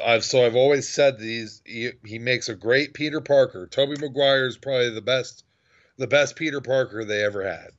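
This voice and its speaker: With fairly even intonation and a medium pitch, a man talks at a fairly quick pace in an unremarkable speaking voice. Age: 30s. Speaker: podcast co-host. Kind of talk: casual chat.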